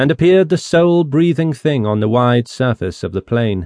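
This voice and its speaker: This man has a plain, everyday voice. He speaks at a moderate pace with lively intonation. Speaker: audiobook narrator. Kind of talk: dramatic audiobook narration of a classic novel, rich archaic prose read aloud. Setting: studio. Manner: measured, solemn storytelling pace; grave, ominous tone building dread over the Dead Sea scene.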